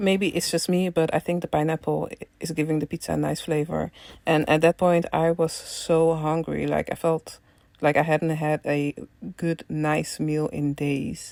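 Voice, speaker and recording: A woman with a Dutch accent speaks at a moderate pace, very deep and low in pitch with monotone, flat intonation. The sound is dry and close with no echo, on a very clean recording with a silent background. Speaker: travel vlogger. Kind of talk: travel vlog narration. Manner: hesitant, many fillers.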